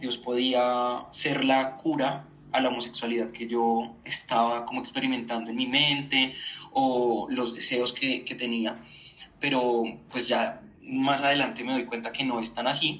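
Audible room echo surrounds the voice. A man is talking at a fairly slow pace. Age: 20s. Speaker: journalist and communicator. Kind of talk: personal testimony in interview.

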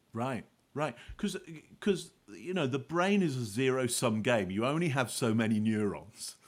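Pitch swings very widely as a man speaks with a British accent. The recording is very clean, with a silent background. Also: medium pitch for a man, moderate pace. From UK. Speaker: body language expert and author. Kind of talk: interview.

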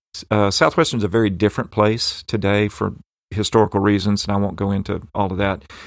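A man speaks at a fairly quick pace with a fairly low pitch and fairly even intonation. The recording is very clean, with a silent background. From western Tennessee, US South. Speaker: professor. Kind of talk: interview, personal storytelling.

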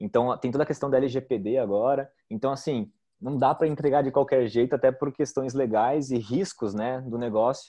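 Against a quiet background, a man with a dark, mellow tone speaks at a moderate pace in a medium pitch, with ordinary pitch variation and hardly any pauses. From southern Brazil, Joinville (Santa Catarina). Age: 30s. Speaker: startup founder, marketer. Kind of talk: podcast interview.

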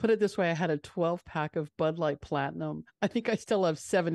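A woman's very deep, low voice with an American accent, ordinary pitch variation and a dry, close sound with no echo over a quiet background. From New York, Long Island. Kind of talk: casual chat. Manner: fast.

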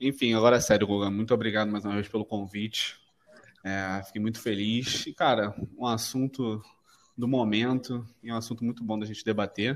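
In a monotone, flat delivery, a man with a medium pitch talks at a moderate pace. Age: 20s. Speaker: podcast guest. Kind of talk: casual chat.

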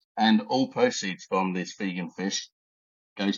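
A man speaks with an Essex accent. His pitch is fairly low. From Essex, England. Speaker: high performance coach and art collector. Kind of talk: casual podcast interview. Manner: joking, laid-back.

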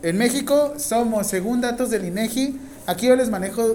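A man speaks in a high pitch with a Mexican accent. Noticeable background noise can be heard. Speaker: nursing professor. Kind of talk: classroom lecture. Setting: classroom with students. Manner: informal, joking.

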